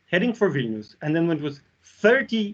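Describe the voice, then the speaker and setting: With a Russian accent, a man speaks in a high pitch. His pace is moderate and his intonation lively. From Belarus. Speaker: university lecturer. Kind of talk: academic seminar talk.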